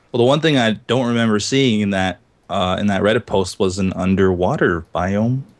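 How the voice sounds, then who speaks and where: An unremarkable speaking voice from a man at fairly low pitch, moderate pace, ordinary pitch variation and very even loudness, over a quiet background. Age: 30s. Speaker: gaming podcast host. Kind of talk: casual chat.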